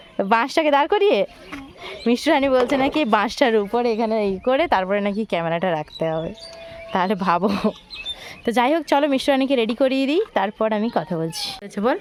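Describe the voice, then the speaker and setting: A woman's voice sits fairly high and swings very widely in pitch. Noticeable background noise is present. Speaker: vlogger, mother filming with her daughter. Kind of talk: casual vlog talk to camera. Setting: outdoors on a rooftop.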